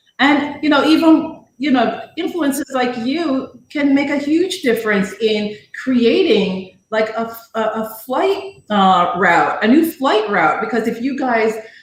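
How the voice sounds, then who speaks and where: A woman talks at a fairly slow pace and a high pitch, with hardly any pauses. Audible room echo surrounds her voice. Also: lively intonation. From Jamaica. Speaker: live stream guest. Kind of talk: casual chat.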